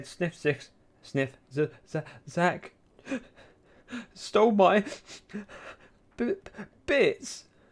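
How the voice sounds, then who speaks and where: A man's put-on character voice, high and whiny, with very wide pitch swings, a very slow pace and long, frequent pauses. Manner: tearful, whiny.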